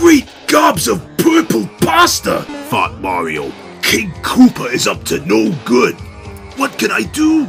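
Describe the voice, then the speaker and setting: Clear background music under a man's put-on character voice, moving at a fairly slow pace. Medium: read story.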